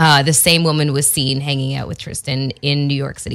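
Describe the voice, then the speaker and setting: On a very clean recording with a silent background, a woman speaks in a very deep, low voice with a bright, sharp tone. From Canada. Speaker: podcast co-host. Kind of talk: casual chat.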